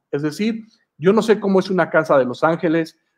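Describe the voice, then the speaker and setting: Ordinary pitch variation at a moderate pace. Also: man. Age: 40s. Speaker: comic and storyboard artist. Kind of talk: online masterclass. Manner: hesitant, many fillers.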